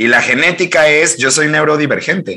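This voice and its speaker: A man speaks with a Mexican accent. His tone is bright and sharp. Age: 30s. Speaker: life coach. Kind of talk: interview conversation. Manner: fast, animated.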